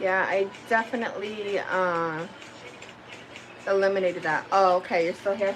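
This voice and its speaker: Noticeable background noise runs beneath a voice with an American accent. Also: woman. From New England, near Boston. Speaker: cooking live streamer. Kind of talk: casual live stream chat while cooking. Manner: animated.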